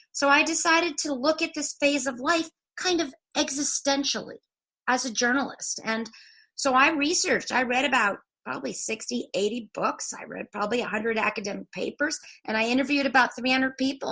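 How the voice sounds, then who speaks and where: A woman's raised, projected voice comes through high-pitched and bright, sharp in tone, at a fairly quick pace. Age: 60s. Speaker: journalist and author. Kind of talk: interview. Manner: animated.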